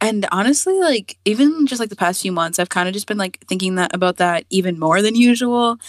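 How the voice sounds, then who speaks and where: A normal speaking voice from a woman with an American accent, medium in pitch with ordinary pitch variation, at a fairly quick pace with hardly any pauses, in a dry, close recording with no echo. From US, Virginia. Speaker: artist. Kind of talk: casual interview.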